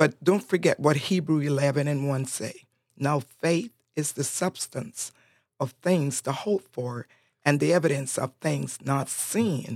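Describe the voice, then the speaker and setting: A woman with a Honduran accent speaks at a very deep, low pitch with ordinary pitch variation. Her pace is fairly slow, and the sound is dry and close with no echo. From Honduras, Roatán island. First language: Spanish. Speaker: church prayer ministry leader. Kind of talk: casual chat. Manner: animated.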